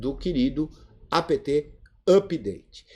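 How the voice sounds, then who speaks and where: A man speaks in a dark, mellow tone marked by vocal fry. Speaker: Linux course teacher. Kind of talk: live online class Q&A. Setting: video conference.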